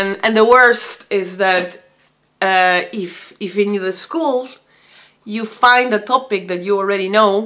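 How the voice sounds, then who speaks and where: With a Spanish accent, a woman speaks at a fairly slow pace and a medium pitch, with ordinary pitch variation. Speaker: vlogger and homeschooling mother. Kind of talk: casual vlog monologue. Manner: halting.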